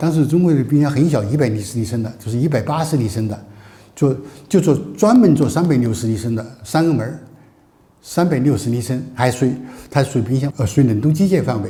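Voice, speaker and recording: This man talks at a fairly quick pace in a dark, mellow, somewhat breathy voice of medium pitch, with lively intonation. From China. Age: 80s+. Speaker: entrepreneur, former richest man. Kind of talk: business talk, personal storytelling. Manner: hesitant, repetitive.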